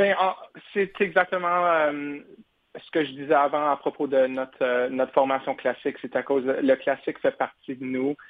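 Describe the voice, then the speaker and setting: Speaking fairly slowly, a man uses a fairly high pitch and ordinary pitch variation. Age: 20s. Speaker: opera tenor singer. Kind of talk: radio interview. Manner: halting.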